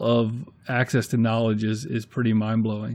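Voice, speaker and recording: Speaking at a moderate pace with an American accent, a man has an unremarkable speaking voice at a medium pitch. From US Northeast. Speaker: YouTube maker acting as guest interviewer. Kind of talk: casual interview chat.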